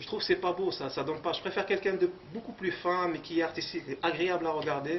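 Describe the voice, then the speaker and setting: Over noticeable background noise, a man speaks very fast at a high pitch. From Morocco. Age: 30s. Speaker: bodybuilder. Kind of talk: interview. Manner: halting.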